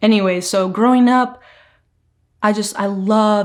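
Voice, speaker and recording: A woman speaks in an American accent, using a medium pitch and ordinary pitch variation. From California, San Fernando Valley. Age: 20s. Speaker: lifestyle vlogger. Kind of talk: casual chat. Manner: chatty, filler-heavy.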